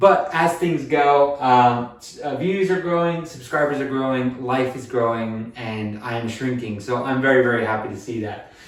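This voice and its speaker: There is noticeable background noise as a man with an American accent speaks with big swings in loudness. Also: medium pitch for a man, ordinary pitch variation, moderate pace, hardly any pauses. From United States. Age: 20s. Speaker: weight loss vlogger. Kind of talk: casual vlog monologue. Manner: filler-heavy, conversational.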